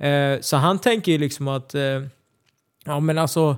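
At a moderate pace, a man speaks with a fairly high pitch and ordinary pitch variation. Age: 20s. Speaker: MMA fighter. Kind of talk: casual chat. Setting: studio.

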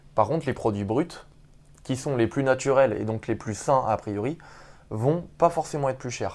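In a very clean recording with a silent background, a man with an unremarkable speaking voice and medium pitch talks at a moderate pace with ordinary pitch variation. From Paris region, France. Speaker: street workout athlete and doctoral student. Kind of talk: casual interview.

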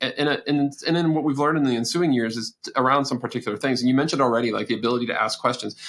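With hardly any pauses, a man talks at a very fast pace in a medium pitch and fairly even intonation. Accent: American. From Texas. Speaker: research institute director. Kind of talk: podcast interview.

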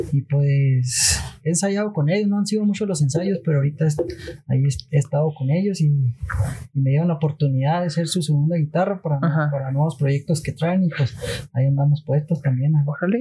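Keeping his loudness very even, a man uses a fairly high pitch with ordinary variation and a somewhat breathy voice with a dark, mellow tone. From Mexico, Chihuahua (Madera). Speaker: art student. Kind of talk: casual chat. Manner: relaxed. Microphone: too quiet, needs to be closer.

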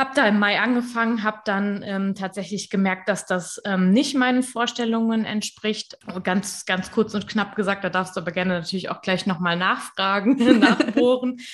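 A woman speaks at a medium pitch and a moderate pace, with hardly any pauses. Her voice is somewhat breathy, with ordinary pitch variation. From western Germany, near Koblenz. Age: 20s. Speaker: social media coach and freelancer. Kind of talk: interview.

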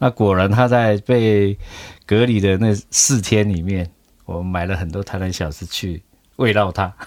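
At a very slow pace, a man with a fairly low pitch speaks in fairly even intonation on a very clean recording with a silent background. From Taiwan. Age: 60s. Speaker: bakery owner. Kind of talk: interview via interpreter.

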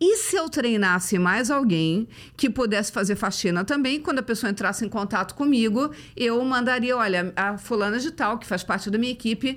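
A woman at a fairly quick pace, high in pitch with lively intonation, in a very clean recording with a silent background. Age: 50s. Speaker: motivational speaker. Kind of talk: casual chat.

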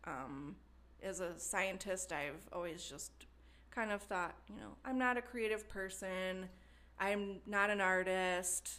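Speaking very slowly with a slight Wisconsin accent, a woman has a bright, sharp tone. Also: medium pitch for a woman, ordinary pitch variation. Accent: slight Wisconsin Midwestern. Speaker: potter and studio member. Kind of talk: interview conversation.

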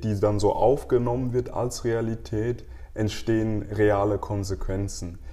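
A man talks at a very slow pace with a somewhat breathy, dark, mellow tone. His fairly low pitch varies in an ordinary way. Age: 30s. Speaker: marketing specialist. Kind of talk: casual interview.

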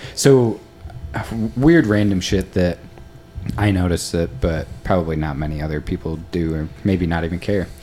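With an American accent, a man talks at a moderate pace in a very deep, low voice with ordinary pitch variation and long, frequent pauses, music playing in the background. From US East Coast. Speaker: podcast host. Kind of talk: casual interview.

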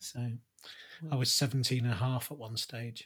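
A somewhat breathy man with a British accent on a very clean recording against a silent background. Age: 50s. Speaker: podcast co-host and father. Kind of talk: casual conversation.

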